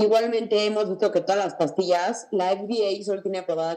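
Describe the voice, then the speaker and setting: A woman speaks at a moderate pace with a dark, mellow tone. Her intonation stays fairly even. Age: 20s. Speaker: mental health advocate. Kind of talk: testimony.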